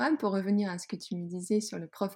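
On a very clean recording with a silent background, a woman speaks at a medium pitch with a dark, mellow, somewhat breathy tone. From Netherlands, Groningen. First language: Dutch (speaking French). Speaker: yoga teacher and clothing entrepreneur. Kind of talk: casual interview. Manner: halting, many repetitions and fillers.

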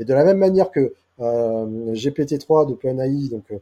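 Over a quiet background, a man speaks with a fairly high pitch and a dark, mellow tone. His intonation is lively and his voice somewhat breathy. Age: 40s. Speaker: AI and SEO specialist. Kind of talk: casual interview. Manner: halting with many repetitions.

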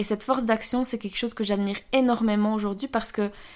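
Her intonation stays monotone and flat, and a woman's fairly high pitch carries through. The recording is very clean, with a silent background. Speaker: podcast host and former entrepreneur. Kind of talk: personal monologue.

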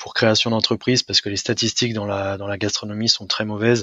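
A man's flat, monotone delivery, fairly low in pitch, at a moderate pace. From France, Brittany (Rennes). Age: 30s. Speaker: restaurant owner. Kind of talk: interview. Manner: hesitant, many fillers.

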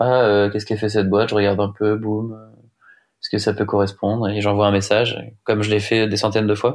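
Against a quiet background, a man speaks very fast in a monotone, flat intonation. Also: fairly low pitch for a man. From Brittany, France (Rennes). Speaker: offshore sailing skipper. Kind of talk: casual interview. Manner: halting, many fillers.

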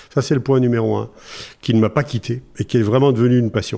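A man with a dark, mellow tone talks at a fairly quick pace, with medium pitch and fairly even intonation. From France, Massif Central. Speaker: wood construction company president. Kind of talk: interview. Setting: studio. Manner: halting.

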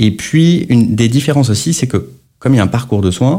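Lively intonation from a man with a dark, mellow tone at a moderate pace. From France, Lyon area. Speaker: health tech startup founder. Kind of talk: podcast interview.

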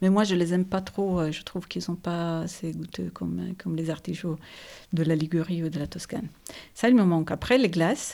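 A woman with an Italian accent, dark and mellow in tone, at a fairly quick pace. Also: fairly low pitch for a woman, ordinary pitch variation. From Italy, Turin area (Ivrea). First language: Italian (speaking French). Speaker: business executive. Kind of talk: interview. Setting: host's living room.

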